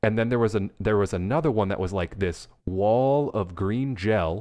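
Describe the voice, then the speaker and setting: In a plain, everyday voice, a man speaks at a moderate pace and fairly low pitch, with ordinary pitch variation and a quiet background. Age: 30s. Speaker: podcast co-host. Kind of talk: casual chat.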